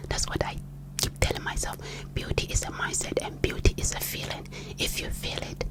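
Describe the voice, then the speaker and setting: Whispering in a Ghanaian accent at a moderate pace, the speaker is heard over noticeable background noise. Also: woman. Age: 30s. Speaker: ASMR creator. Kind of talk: personal testimony. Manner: whispered.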